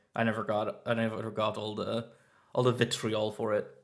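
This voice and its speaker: A man speaks fairly quickly with a Swiss German accent on a very clean recording with a silent background. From German-speaking Switzerland. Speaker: streamer. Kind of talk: live stream reaction chat. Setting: live stream from new flat. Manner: animated.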